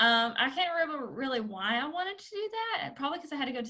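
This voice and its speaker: In a Southern US accent, a woman talks at a very fast pace with very wide pitch swings. Audible room echo surrounds her voice. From southern Arkansas. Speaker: career and life coach. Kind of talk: casual interview.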